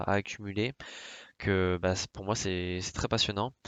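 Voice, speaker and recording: This man has a fairly low pitch. He speaks at a moderate pace. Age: 20s. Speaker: finance YouTuber. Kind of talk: presentation to camera. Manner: hesitant, many fillers.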